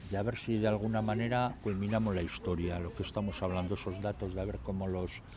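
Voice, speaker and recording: Speaking very fast with hardly any pauses, a man with a fairly low pitch and a dark, mellow, somewhat breathy tone uses ordinary pitch variation amid audible room echo. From Basque Country, Trapagaran (Biscay). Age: 60s. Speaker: mayor. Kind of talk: interview.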